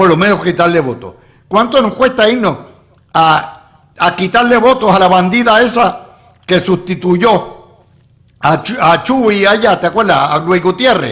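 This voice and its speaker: This man's voice is high-pitched, with lively intonation. He talks at a fairly slow pace. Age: 70s. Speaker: political analyst, statehood author. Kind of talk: political panel discussion. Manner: animated.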